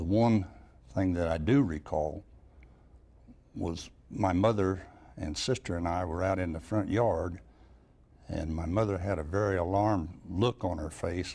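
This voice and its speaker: With an American accent, a man talks in a very deep, low voice with a dark, mellow tone and a somewhat breathy quality. His pace is fairly slow, with long, frequent pauses. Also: ordinary pitch variation. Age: 80s+. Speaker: elderly eyewitness. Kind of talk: oral history interview.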